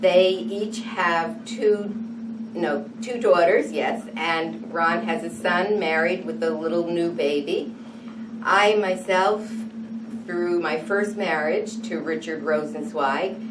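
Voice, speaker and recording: Speaking very slowly with an American accent, a woman at medium pitch makes very wide pitch swings, with noticeable background noise and audible room echo in the recording. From New England, US (New London, Connecticut). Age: 60s. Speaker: interviewee. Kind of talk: oral history interview.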